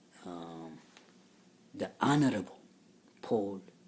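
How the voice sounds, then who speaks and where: In an Ethiopian accent, a man speaks at a very slow pace. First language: Amharic. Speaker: religious teacher. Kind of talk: lecture. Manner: halting, many fillers.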